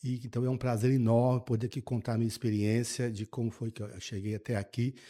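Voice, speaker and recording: On a very clean recording with a silent background, a man talks very fast with monotone, flat intonation. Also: medium pitch for a man. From Brazil, interior of Minas Gerais. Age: 60s. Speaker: state finance secretary. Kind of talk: podcast interview. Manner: halting, repeats words.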